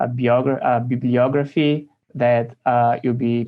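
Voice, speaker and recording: A man speaks with a Brazilian accent. His pitch sits in the medium range. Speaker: theology professor, priest. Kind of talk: recorded lecture presentation. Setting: recording at home. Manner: slow, deliberate; hesitant, many fillers.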